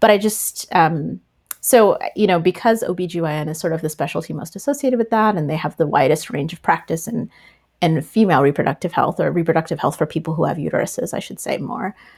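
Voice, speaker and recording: A woman speaks in a fairly low, somewhat breathy voice at a fairly quick pace with lively intonation. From US East Coast, partly Tennessee. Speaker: physician. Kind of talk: interview. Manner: casual with many fillers.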